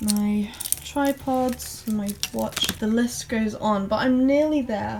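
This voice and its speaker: With an English accent and fairly even intonation, a woman speaks very slowly at a fairly high pitch over noticeable background noise. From England. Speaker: vlogger. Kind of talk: vlog to camera.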